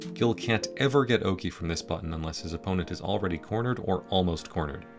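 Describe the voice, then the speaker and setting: With music in the background, a man with a very deep, low pitch talks at a very fast pace and swings his pitch very widely. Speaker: fighting game video essayist. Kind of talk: video essay narration.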